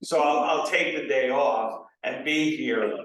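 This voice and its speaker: Fairly even intonation from a man, with audible room echo. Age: 60s. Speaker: political candidate. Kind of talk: candidate forum answer. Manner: halting, many fillers.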